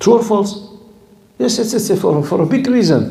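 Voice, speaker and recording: A man speaks with an Arabic accent. Room echo is audible and background noise is noticeable. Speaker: Islamic scholar and teacher. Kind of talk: lecture. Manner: animated.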